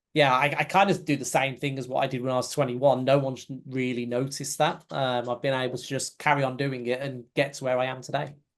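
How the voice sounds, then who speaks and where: A man with a British accent at a medium pitch, very fast pace and fairly even intonation, hardly any pauses, quiet background. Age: 40s. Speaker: company CEO. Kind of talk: interview. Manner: halting.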